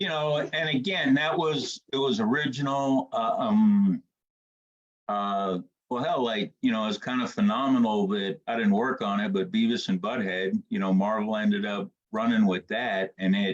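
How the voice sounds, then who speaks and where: Here a man talks at a medium pitch and moderate pace, with lively intonation. It is an ordinary speaking voice. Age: 60s. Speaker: comics artist. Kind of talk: casual chat. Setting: live-streamed podcast.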